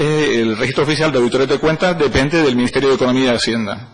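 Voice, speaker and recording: Amid noticeable background noise, a man of medium pitch talks at a very fast pace with ordinary pitch variation. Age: 60s. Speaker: auditor and economist, parliamentary candidate. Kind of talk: formal parliamentary hearing presentation. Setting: parliamentary committee.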